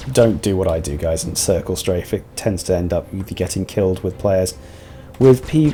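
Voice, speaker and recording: With a British accent, a man talks in a very deep, low pitch and lively intonation while music plays in the background. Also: moderate pace. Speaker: video game streamer. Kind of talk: live gameplay commentary. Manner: soft-spoken.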